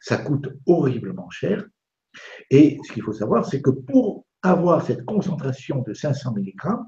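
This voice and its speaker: A man speaks at a fairly slow pace in a fairly high pitch, his voice somewhat breathy with a dark, mellow tone. His pitch swings very widely. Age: 70s. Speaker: doctor and lecturer. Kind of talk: interview on live web TV. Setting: live web broadcast.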